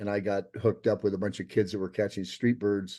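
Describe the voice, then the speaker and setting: A man's fairly low, dark, mellow voice with an American accent at a fairly quick pace. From US Pacific Northwest, Seattle. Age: 70s. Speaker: documentary filmmaker. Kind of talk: interview. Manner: halting, many restarts.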